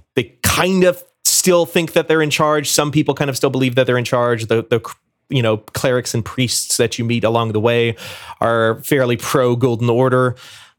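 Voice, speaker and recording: At a moderate pace, a man talks at a medium pitch with ordinary pitch variation and very even loudness. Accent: American. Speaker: podcast co-host and editor. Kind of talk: casual chat.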